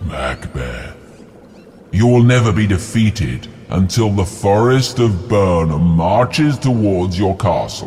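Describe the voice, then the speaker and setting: In a put-on character voice, a man speaks at a fairly low pitch and a fairly slow pace. Background noise is clear. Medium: read story.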